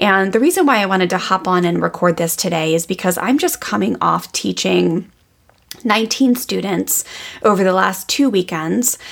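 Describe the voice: Woman with vocal fry and lively intonation. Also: medium pitch for a woman, moderate pace, fairly bright tone.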